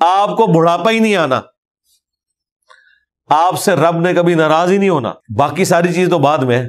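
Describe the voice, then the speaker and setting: A man's high-pitched voice with ordinary pitch variation and very even loudness. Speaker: Islamic scholar. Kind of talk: religious sermon. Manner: heartfelt.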